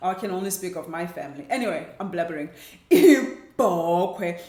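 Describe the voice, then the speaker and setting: A woman with a South African accent speaks at medium pitch with lively intonation. Room echo is audible and background noise is noticeable. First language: Xhosa. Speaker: language teacher. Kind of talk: tutorial.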